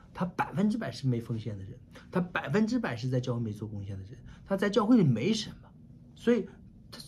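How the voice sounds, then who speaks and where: Faint music plays in the background as a man speaks at a fairly quick pace, his pitch swinging very widely. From China. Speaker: pastor. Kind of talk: sermon. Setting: online church meeting. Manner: animated. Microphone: webcam.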